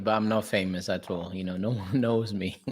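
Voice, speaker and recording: Someone with a Portuguese accent speaks at a fairly quick pace. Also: man. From Portugal. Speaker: property investor. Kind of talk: interview. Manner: halting.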